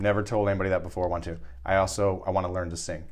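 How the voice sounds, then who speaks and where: Audible room echo surrounds a man talking at a very fast pace. His pitch is very deep and low, with vocal fry. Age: 40s. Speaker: podcast host. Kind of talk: casual chat.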